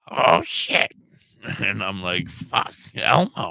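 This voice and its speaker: The tone is bright and sharp, and the pace fairly slow. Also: man. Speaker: cannabis livestream co-host. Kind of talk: casual chat.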